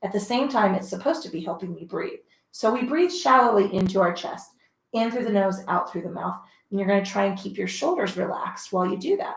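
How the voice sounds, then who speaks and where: Using a put-on character voice, a woman rattles along at a very fast pace, raspy and medium-pitched, with lively intonation. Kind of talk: fitness instructor. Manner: shallow breathing, instructing.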